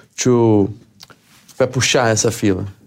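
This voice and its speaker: Speech comes at a very slow pace with a Portuguese accent. The intonation stays fairly even. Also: man. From Brazil. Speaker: MMA fighter. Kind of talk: interview. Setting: studio. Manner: halting.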